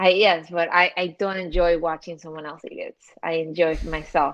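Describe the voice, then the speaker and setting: A woman with a Spanish accent, fairly low in pitch, monotone and flat in intonation at a moderate pace. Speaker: social media commentator. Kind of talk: casual chat.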